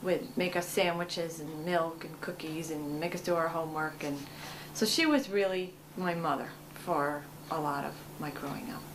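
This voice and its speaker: Noticeable background noise sits behind a woman's voice. Her pitch variation is ordinary. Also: fairly low pitch for a woman, moderate pace. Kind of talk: interview answer.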